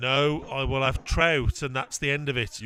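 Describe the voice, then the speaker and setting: In a put-on character voice, someone mumbles in a gruff, monotone, flat delivery at a moderate pace. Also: man, medium pitch for a man. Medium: audio drama. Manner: gruff, curt, mumbling.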